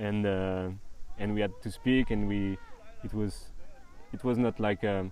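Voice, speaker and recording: A man speaks with a French accent at a fairly low pitch, in a monotone, flat intonation. His pace is fairly slow, with long, frequent pauses. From northern France. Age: 20s. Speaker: traveller. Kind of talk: casual interview. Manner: halting.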